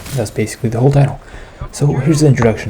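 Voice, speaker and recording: A man's fairly even intonation comes through with noticeable background noise. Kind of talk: casual video essay commentary. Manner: whispered.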